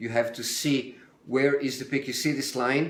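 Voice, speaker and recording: In an Italian accent, a man of medium pitch speaks at a fairly quick pace with ordinary pitch variation over noticeable background noise. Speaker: home cook. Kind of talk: live stream cooking tutorial. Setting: home kitchen, daughter filming. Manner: casual, hesitant with fillers.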